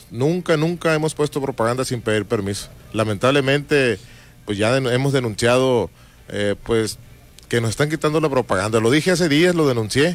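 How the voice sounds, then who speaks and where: Speaking at a moderate pace, this man has an unremarkable speaking voice with a medium pitch and ordinary pitch variation. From Mexico, Baja California Sur (Todos Santos). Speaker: political candidate. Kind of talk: radio interview. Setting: radio studio.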